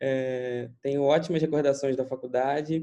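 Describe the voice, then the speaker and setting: Fairly slow speech from a man with a fairly high pitch and a dark, mellow tone. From Brazil, Petrópolis, Rio de Janeiro state. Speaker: doctor, former surgical resident. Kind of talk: online lecture. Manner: casual, filler-heavy.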